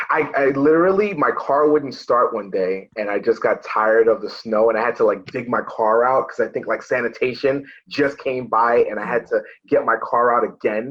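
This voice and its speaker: A man talks with a Brooklyn accent. His pace is moderate. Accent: Brooklyn New York. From New York City, Brooklyn. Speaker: police officer. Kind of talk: casual chat. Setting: in a patrol car.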